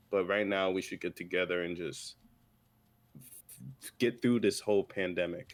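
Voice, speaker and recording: The man's voice sits very deep and low. He talks at a moderate pace. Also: very clean recording, silent background. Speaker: streamer guest. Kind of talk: casual chat. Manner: stutters.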